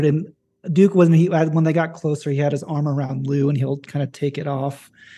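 A man with a fairly high pitch and a dark, mellow, somewhat breathy tone speaks at a moderate pace in a flat monotone. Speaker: tabletop roleplaying game player. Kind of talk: actual-play roleplaying game session.

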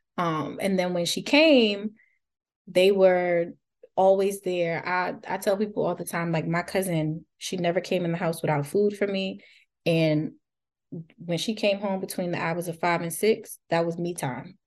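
This woman has an unremarkable speaking voice, pitched fairly low, with fairly even intonation. She goes at a fairly slow pace, and the background is quiet. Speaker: postpartum doula. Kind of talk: casual interview.

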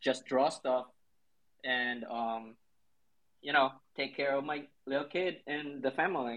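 A man's medium-pitched voice with a Filipino accent, fairly slow and fairly even in intonation, with long, frequent pauses. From central Philippines. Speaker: graphic artist and designer. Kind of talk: casual interview. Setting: live online audio room. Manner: hesitant, many fillers.

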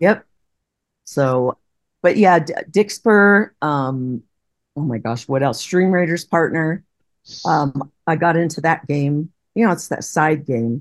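A woman's very deep, low voice with lively intonation, at a very slow pace with long, frequent pauses. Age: 60s. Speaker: retired teacher and game streamer. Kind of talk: interview.

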